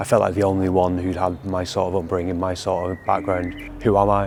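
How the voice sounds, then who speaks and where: Very deep, low male voice in a northern English accent, monotone and flat, at a moderate pace, with audible room echo and noticeable background noise. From northern England, near Manchester. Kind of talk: testimony.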